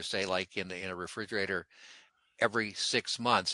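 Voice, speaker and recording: A man speaks at a fairly quick pace in a bright, sharp tone. The sound is dry and close with no echo, over a quiet background. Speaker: radio host. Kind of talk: radio call-in hosting. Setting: studio.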